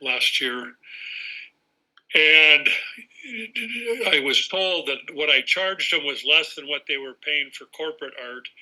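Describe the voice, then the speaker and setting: Long, frequent pauses, fairly even intonation, and big swings in loudness. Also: man. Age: 70s. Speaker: photographer. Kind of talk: casual chat. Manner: halting.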